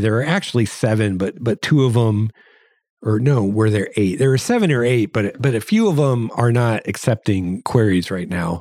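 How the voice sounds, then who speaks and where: The recording is very clean, with a silent background. A man with a Midwestern American accent speaks at a medium pitch and moderate pace, with ordinary pitch variation. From US Midwest. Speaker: podcast host and science fiction novelist. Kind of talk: casual solo podcast monologue. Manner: halting with fillers and repeated words.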